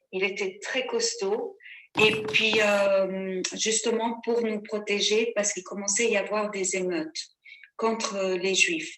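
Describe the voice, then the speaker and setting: At a very slow pace, a woman talks in a fairly high pitch with fairly even intonation. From Sudan, Khartoum. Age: 60s. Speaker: witness. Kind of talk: testimony.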